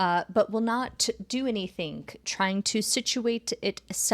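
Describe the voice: In this plain reading aloud, the pitch rises and falls in an ordinary way.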